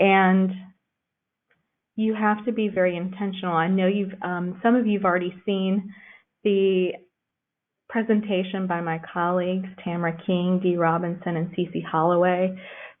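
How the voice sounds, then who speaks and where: A woman with a medium pitch speaks in a monotone, flat intonation, leaving long, frequent pauses, with audible room echo around her. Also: moderate pace. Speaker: children's librarian. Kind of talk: lecture.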